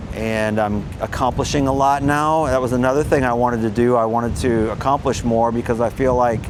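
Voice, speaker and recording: Over noticeable background noise, a man speaks fairly quickly at medium pitch, with very even loudness and hardly any pauses. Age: 60s. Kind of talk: personal story to camera. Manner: casual, hesitant.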